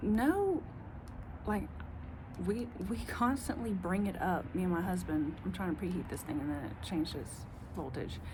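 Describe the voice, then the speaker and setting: A woman at a moderate pace in a strong Southern US accent, with long, frequent pauses and audible room echo. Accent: strong Southern country. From US South. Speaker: vlogger. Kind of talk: casual monologue. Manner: rambling, halting.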